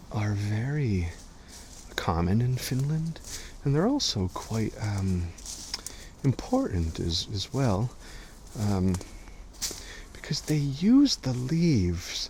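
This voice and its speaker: Soft-spoken, a man speaks at a very slow pace with long, frequent pauses and very wide pitch swings over noticeable background noise. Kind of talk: ASMR guided walk. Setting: outdoors.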